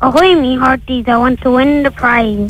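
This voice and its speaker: Over clear background music, a female-sounding voice does a put-on character voice, high-pitched and at a moderate pace. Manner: playful, put on for a prize.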